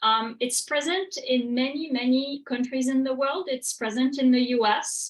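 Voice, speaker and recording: A woman with a French accent speaks at a high pitch. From France. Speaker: professor. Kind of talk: lecture. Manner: hesitant, many fillers.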